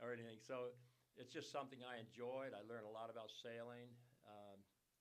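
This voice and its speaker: A man speaks at a medium pitch and a fairly quick pace, in a monotone, flat delivery. Audible room echo surrounds his voice. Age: 70s. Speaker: nutrition advocate and sailor. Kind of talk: casual podcast interview. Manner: halting.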